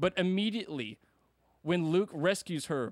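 A man with a fairly high pitch and lively intonation speaks at a moderate pace in a very clean recording with a silent background and a dry, close sound with no echo. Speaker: podcast host. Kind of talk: angry rant about Star Wars, scornful and insistent, casual podcast talk. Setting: podcast recording. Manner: emphatic, indignant, loud and scathing with insulting words.

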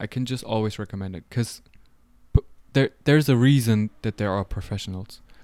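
This man has a fairly low, dark and mellow voice with ordinary pitch variation. The recording is very clean and dry, close with no echo and a silent background. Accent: German. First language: German. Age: 20s. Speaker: photographer. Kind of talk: casual interview chat.

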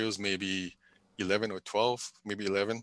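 A man with a Hawaiian accent speaks at a fairly low pitch in a bright, sharp tone with monotone, flat intonation. The recording is very clean, with a silent background and a dry, close sound with no echo. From Hawaii, Big Island (Pahala, Kau district). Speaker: retired military, civil servant. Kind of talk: casual interview. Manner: hesitant, many fillers.

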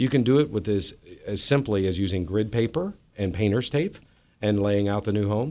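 A man's unremarkable speaking voice, fairly low in pitch, with lively intonation and a fairly quick pace. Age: 50s. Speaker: moving company owner. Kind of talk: radio interview. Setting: radio studio.

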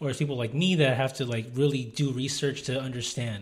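A man speaks fairly quickly at a fairly high pitch. His voice is somewhat breathy, with fairly even intonation. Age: 20s. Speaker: podcast co-host. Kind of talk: casual chat.

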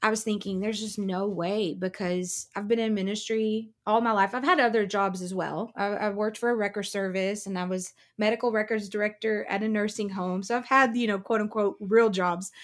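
Here is a woman with an unremarkable speaking voice at a medium pitch, talking at a fairly quick pace with hardly any pauses. The recording is very clean, with a silent background. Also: fairly even intonation. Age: 40s. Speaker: worship leader and minister. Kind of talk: testimony.

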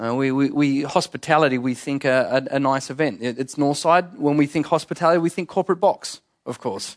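Against a quiet background, a man with an Australian accent talks fairly quickly at a fairly high pitch, with ordinary pitch variation and hardly any pauses. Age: 30s. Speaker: pastor. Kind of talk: sermon. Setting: church.

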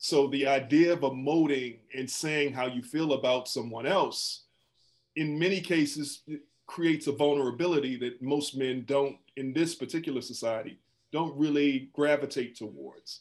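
This man has an unremarkable speaking voice, fairly high in pitch, with an American accent. He talks at a moderate pace with fairly even intonation. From Washington, D.C. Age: 50s. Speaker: psychologist and professor. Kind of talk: panel discussion.

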